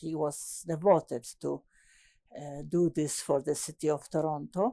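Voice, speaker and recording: A woman with a Polish accent speaks at a fairly slow pace in a dry, close sound with no echo. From Poland. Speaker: landscape architect. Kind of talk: oral history interview. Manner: halting, many hesitations.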